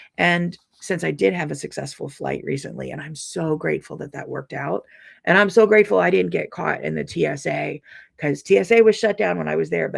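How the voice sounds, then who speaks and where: A man puts on a raspy character voice, fairly high in pitch and at a fairly quick pace. The recording is very clean, with a silent background. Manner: heavy, downbeat, sounds angry and depressed.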